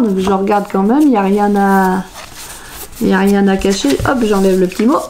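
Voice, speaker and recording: A woman talks in a playful tone at a moderate pace. Noticeable background noise runs underneath. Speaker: crafting youtuber. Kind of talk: unboxing video.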